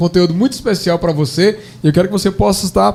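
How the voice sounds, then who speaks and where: The speaker talks in a northeastern Brazilian accent. Noticeable background noise runs behind the voice. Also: man. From Brazilian Northeast. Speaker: pastor. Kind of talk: podcast conversation.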